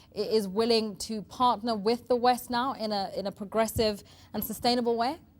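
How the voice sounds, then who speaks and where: On a very clean recording with a silent background, a woman with a normal speaking voice talks at a moderate pace and a fairly high pitch, her intonation fairly even. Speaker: news anchor. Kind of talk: live TV interview questions.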